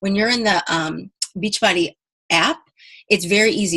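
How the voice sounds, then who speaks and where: A woman is talking. Her voice sits at a medium pitch. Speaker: fitness team coach. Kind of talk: team conference call pep talk. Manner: fast; animated.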